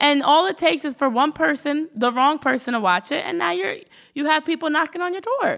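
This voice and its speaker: The recording is very clean, with a silent background. A woman speaks at a fairly quick pace in a high voice that swings very widely in pitch. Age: 20s. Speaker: podcast co-host. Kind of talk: casual chat.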